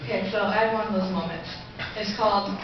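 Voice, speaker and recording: A woman's voice carries strong room echo. Noticeable background noise sits behind her. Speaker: spoken word poet. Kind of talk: casual introduction to a live audience. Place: stage. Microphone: camera far.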